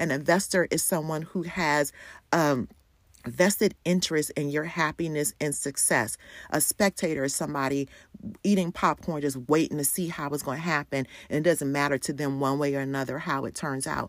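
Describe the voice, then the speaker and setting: Animated and upbeat, a woman with a very deep, low pitch speaks at a moderate pace. The recording is very clean, with a silent background. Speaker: pastor and podcast host. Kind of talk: pep talk, rousing and exhorting, urging listeners to write a bold personal bio. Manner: animated, upbeat and encouraging, cheerfully declarative, with playful humor.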